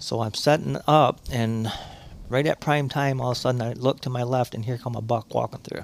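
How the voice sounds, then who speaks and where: With an unremarkable speaking voice, a man speaks at a medium pitch and a fairly quick pace with fairly even intonation. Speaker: hunter. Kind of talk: casual chat.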